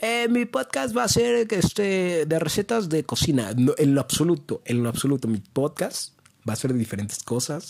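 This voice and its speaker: Speaking in a Mexican accent, a man uses an animated tone, a fairly high pitch and very wide pitch swings at a moderate pace with very even loudness. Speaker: podcaster and youtuber. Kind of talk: casual monologue.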